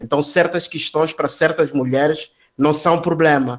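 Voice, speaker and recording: A man talks with a Mozambican accent at a moderate pace. His fairly high pitch stays fairly even in intonation. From Mozambique. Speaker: academic. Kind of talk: seminar discussion comment. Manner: halting, many fillers and repetitions.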